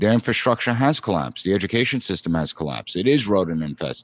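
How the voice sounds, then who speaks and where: A man with an American accent talks at a fairly quick pace in an unremarkable speaking voice. The intonation is lively, and the sound is dry and close with no echo. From Long Island, New York. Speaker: political science professor. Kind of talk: interview.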